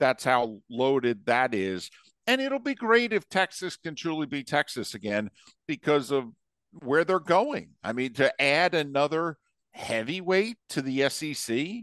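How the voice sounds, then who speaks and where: The pitch swings very widely at a fairly slow pace, and the sound is dry and close with no echo. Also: man, fairly high pitch for a man, quiet background. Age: 50s. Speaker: sports broadcaster. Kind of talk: casual chat.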